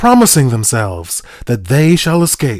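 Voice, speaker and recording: The recording is very clean with a silent background, and the man on it keeps a moderate pace while his pitch swings very widely. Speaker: narrator reading a historical sermon. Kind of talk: sermon reading, fire-and-brimstone preaching.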